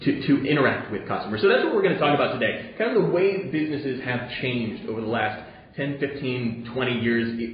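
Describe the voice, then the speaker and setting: Talking very fast with hardly any pauses, a man uses lively intonation at a medium pitch. Some room echo can be heard. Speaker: event host and moderator. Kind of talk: hosted panel discussion. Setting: studio panel event. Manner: hesitant, many filler uhs.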